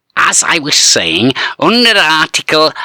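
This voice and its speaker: A man performs a put-on character voice at a fairly high pitch with lively intonation. He speaks at a fairly slow pace in a dry, close sound with no echo. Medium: read story. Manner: slimy, officious.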